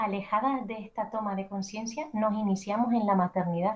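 A woman speaks at a moderate pace in a somewhat breathy, fairly high voice. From Canary Islands. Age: 30s. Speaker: journalist and entrepreneur. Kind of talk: interview. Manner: formal.

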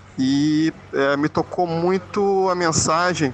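A man speaks with ordinary pitch variation. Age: 40s. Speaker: teacher, listener. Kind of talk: recorded voice message.

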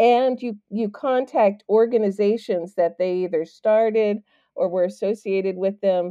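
A woman speaks at a fairly slow pace. Her medium pitch shows ordinary variation. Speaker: podcast host. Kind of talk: casual interview chat. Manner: animated, enthusiastic.

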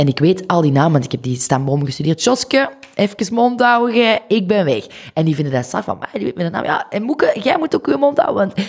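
With noticeable background noise behind her, a woman talks at a fairly quick pace with very wide pitch swings. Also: medium pitch for a woman. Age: 20s. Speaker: photographer. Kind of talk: casual chat.

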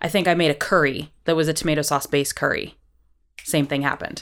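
A woman with an American accent, fairly low in pitch, talking very fast on a very clean recording with a silent background. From US Midwest, Iowa. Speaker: podcast host, chef and singer. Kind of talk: casual interview chat.

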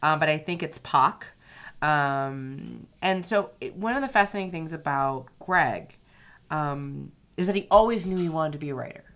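A woman with an American accent has a very deep, low pitch and lively intonation. She keeps a moderate pace on a very clean recording over a silent background. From US South, Louisiana. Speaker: podcast host, attorney and writer. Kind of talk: casual chat. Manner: animated.

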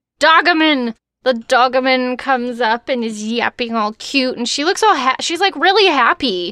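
A woman's high-pitched, bright and sharp American-accented voice, raised and projected, with lively intonation, hardly any pauses, and a dry, close sound with no echo. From Texas. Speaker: podcast co-host and voiceover artist. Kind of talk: casual chat.

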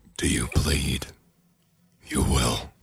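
A man performs in a put-on character voice. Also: very deep, low pitch for a man. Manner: menacing.

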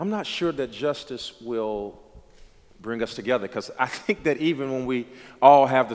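In an American accent, a man with a plain, everyday voice speaks at medium pitch and a moderate pace. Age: 30s. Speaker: pastor. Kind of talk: casual chat.

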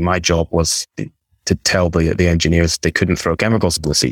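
Recorded dry and close with no echo, a man with a Scottish accent talks at a very fast pace in a very deep, low pitch. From Scotland, near Aberdeen. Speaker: e-commerce business broker. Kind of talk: interview.

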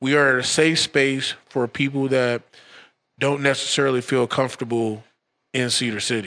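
A man with an American accent talks in a bright, sharp tone with fairly even intonation. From St. Louis, then California. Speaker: brewer and brewery co-owner. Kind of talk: casual chat.

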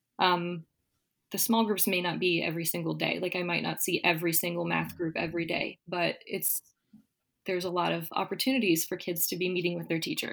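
Vocal fry marks this woman's fairly low voice as she talks at a fairly quick pace. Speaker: elementary school teacher.

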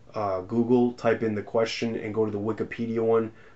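With monotone, flat intonation, a man speaks at a medium pitch. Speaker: podcast host. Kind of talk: casual chat. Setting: video call.

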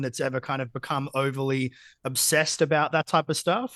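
Over a quiet background, a man with an Australian accent talks at a moderate pace in a bright, sharp tone, the sound dry and close with no echo. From Australia, Geelong (country Victoria). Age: 30s. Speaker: business coach. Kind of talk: casual interview.

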